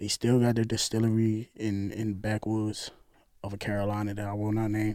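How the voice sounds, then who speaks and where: With a New York accent, a man speaks at a fairly low pitch for a man. His tone is dark and mellow, and his pace is moderate. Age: 30s. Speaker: co-worker of host. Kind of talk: casual chat.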